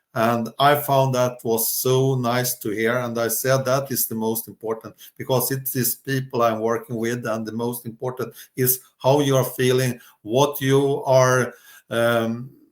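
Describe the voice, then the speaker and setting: A man's flat, monotone delivery at a fairly slow pace. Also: medium pitch for a man. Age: 60s. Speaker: entrepreneur and coach. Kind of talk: interview. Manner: hesitant, with many fillers.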